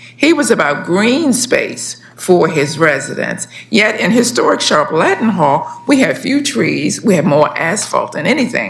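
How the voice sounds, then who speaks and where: A woman at medium pitch speaks fairly slowly with very wide pitch swings and very even loudness, amid audible room echo and noticeable background noise. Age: 70s. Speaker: community resident testifying. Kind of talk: public testimony.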